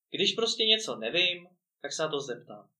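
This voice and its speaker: A man at a moderate pace, with a bright, sharp tone and lively intonation. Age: 20s. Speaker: podcast host and entrepreneur. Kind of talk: interview. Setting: studio.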